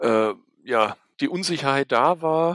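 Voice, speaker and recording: The tone is bright and sharp, the sound dry and close with no echo, and the pitch varies in an ordinary way. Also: man. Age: 30s. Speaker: podcast host. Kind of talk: casual chat.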